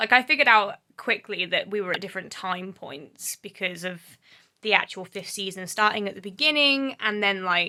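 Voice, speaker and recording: A woman with an English accent speaks at a moderate pace, her pitch medium and her tone bright and sharp. Her intonation is lively, and her loudness swings widely. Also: very clean recording, silent background. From England. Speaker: book vlogger. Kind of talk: casual vlog talk.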